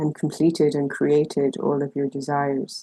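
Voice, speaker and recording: Soft-spoken and gentle, a woman talks at a moderate pace with a dark, mellow tone and a very deep, low pitch, in a dry, close sound with no echo. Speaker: intuitive empowerment coach. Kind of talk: spiritual guidance talk to camera. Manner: soft, gentle, compassionate.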